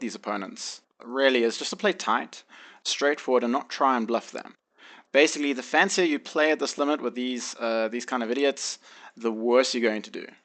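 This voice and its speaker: Against a quiet background, a man talks with a South African accent at a moderate pace. His medium pitch shows ordinary pitch variation. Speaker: online poker player. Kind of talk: tutorial. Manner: hesitant, many fillers.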